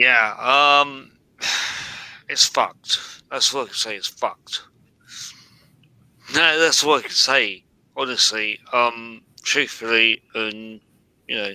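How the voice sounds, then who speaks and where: A bright, sharp tone in a British accent, at a very slow pace with long, frequent pauses, big swings in loudness and ordinary pitch variation. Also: man, medium pitch for a man. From UK. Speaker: live stream participant. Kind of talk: casual chat. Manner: animated.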